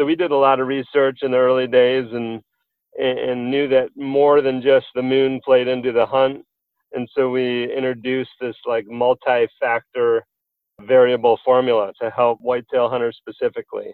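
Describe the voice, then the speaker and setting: Over music in the background, a man talks at a moderate pace and medium pitch with monotone, flat intonation. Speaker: app company CEO. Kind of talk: casual interview.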